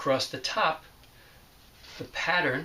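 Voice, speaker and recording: A man with an American accent over noticeable background noise. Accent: New York accent, hidden in class. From New York City, the Bronx. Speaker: teacher. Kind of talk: remote lesson, reading aloud. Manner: careful, clear enunciation.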